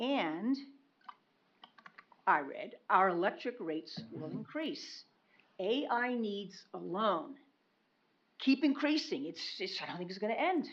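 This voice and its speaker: The delivery is very slow, with long, frequent pauses. Loudness swings widely, and the pitch swings are very wide. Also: woman, fairly high pitch for a woman. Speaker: member of the public giving comment. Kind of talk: public comment at a county meeting. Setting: county commission meeting.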